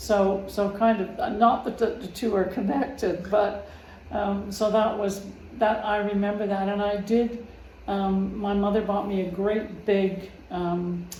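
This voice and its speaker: Amid noticeable background noise and audible room echo, a woman with a medium pitch talks at a fairly slow pace in a monotone, flat intonation. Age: 80s+. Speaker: family member interviewed. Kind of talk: casual interview. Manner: halting.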